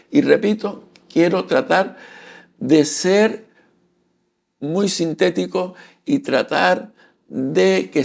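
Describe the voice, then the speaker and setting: Vocal fry marks a man's voice, which moves in very wide pitch swings. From Canary Islands, Santa Cruz de Tenerife. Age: 60s. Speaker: photography and culture YouTuber, retiree. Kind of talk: casual channel introduction talk to camera. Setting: home studio. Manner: halting, with fillers and repetitions.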